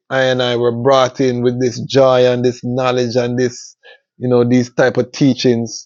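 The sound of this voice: A man speaks at a medium pitch. His tone is slightly mellow.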